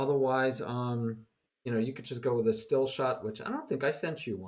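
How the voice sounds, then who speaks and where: A man with a New York accent, medium pitch, lively intonation and a fairly quick pace. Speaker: chess teacher. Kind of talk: casual chat. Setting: video call. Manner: fast.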